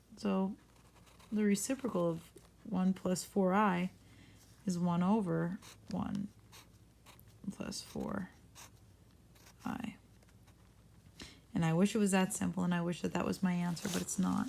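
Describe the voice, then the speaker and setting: Somewhat breathy medium-pitched female speech, fairly slow and fairly even, with long, frequent pauses. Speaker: math teacher. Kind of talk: tutorial. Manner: casual, conversational.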